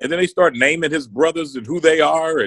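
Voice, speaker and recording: The speaker is a man with a fairly high pitch. His sound is dry with no echo. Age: 50s. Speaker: senior pastor. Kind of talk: casual chat. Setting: video podcast recording. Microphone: phone near.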